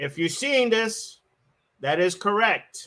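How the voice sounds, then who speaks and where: This man's voice has a bright, sharp tone. His pitch varies in an ordinary way. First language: not English. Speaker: event host reading award lists. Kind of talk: awards ceremony livestream. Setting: live stream.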